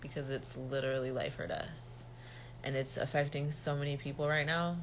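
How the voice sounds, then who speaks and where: A woman speaks in a serious tone with a somewhat breathy voice. Room echo is audible. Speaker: reiki healer and spiritual teacher. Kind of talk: livestream monologue. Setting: livestream. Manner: serious, no mirth in tone.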